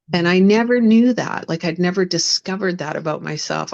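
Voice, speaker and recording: Here a woman speaks in a Western Canadian accent at a fairly low pitch. Her pitch variation is ordinary. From Canada, West Vancouver. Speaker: spiritual coach and minister. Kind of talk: interview testimony. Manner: halting, many fillers.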